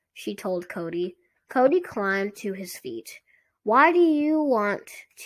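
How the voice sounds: With a quiet background, the recording carries a natural reading voice.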